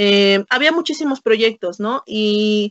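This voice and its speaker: A woman speaks at a fairly slow pace. Her voice sits fairly high, with ordinary pitch variation. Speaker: anthropologist and meme creator. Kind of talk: casual interview.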